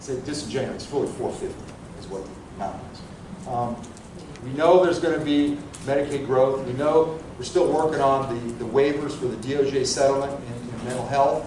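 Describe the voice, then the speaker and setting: A man with a fairly high pitch talks at a fairly quick pace, his intonation fairly even but his loudness swinging widely. There is noticeable background noise and audible room echo. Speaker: budget analyst. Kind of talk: conference presentation. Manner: fast.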